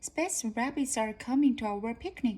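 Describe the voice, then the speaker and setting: A woman uses a put-on character voice pitched high. She keeps a moderate pace. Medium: read story.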